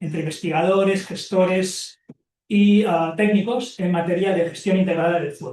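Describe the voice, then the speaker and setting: A man with a Catalan accent has a high pitch and fairly even intonation. He talks at a fairly slow pace. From Catalonia, Spain. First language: Catalan (speaking Spanish). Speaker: professor and ecology researcher. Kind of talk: lecture. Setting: seminar room with audience, also streamed on Zoom. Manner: halting, many fillers and repetitions.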